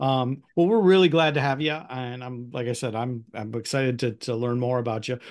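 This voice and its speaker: Against a quiet background, a man with a Midwestern American accent talks fairly quickly at a medium pitch with ordinary pitch variation. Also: hardly any pauses. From US Midwest, Northwest Ohio (Toledo area). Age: 50s. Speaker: podcast host. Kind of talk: casual interview.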